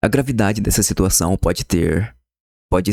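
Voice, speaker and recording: Quietly, a man speaks at a very deep, low pitch, the sound dry and close with no echo. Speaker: YouTuber commenting on news. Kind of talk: casual commentary. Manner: quiet, subdued volume.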